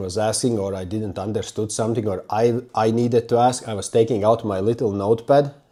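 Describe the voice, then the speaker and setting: On a very clean recording with a silent background, a man speaks at a moderate pace in a dark, mellow tone with monotone, flat intonation. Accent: non-native. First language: not English. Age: 30s. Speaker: self-development YouTuber. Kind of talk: personal story monologue. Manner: halting.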